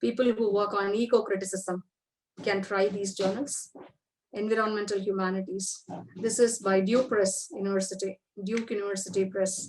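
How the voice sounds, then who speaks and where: Speaking with fairly even intonation, a woman has a plain, everyday voice at a medium pitch. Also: moderate pace. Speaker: university lecturer. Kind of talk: lecture.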